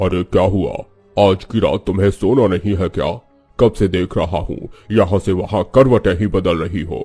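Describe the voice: A man's cartoonish character voice at a fairly low pitch, over faint music in the background. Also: moderate pace.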